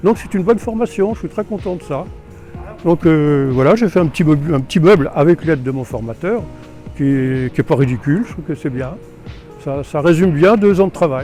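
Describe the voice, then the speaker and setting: Music plays in the background as a man with a fairly high pitch speaks with lively intonation and long, frequent pauses. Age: 70s. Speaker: retired carpentry apprentice. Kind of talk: interview answer.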